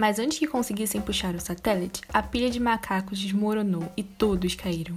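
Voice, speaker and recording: At a fairly quick pace, a woman speaks in a somewhat breathy, medium-pitched voice. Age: young. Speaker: pedagogy student. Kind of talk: reading aloud.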